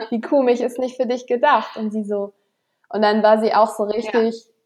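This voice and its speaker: A woman's fairly high voice keeps a fairly even intonation. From northern Germany, Flensburg. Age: 20s. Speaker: health management student and fitness instructor. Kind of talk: casual interview. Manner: hesitant, many fillers.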